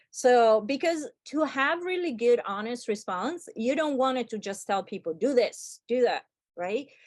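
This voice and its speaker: Lively intonation at a fairly slow pace, with a non-native accent against a quiet background. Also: woman, high pitch for a woman. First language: not English. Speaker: UX workshop instructor. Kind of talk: online workshop lecture. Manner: casual, filler-heavy.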